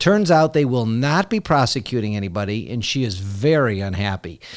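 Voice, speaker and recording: A man with a plain, everyday voice, lively intonation, and a fairly slow pace in a very clean recording with a silent background. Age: 50s. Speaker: podcast host, attorney. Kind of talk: interview; scripted intro and outro.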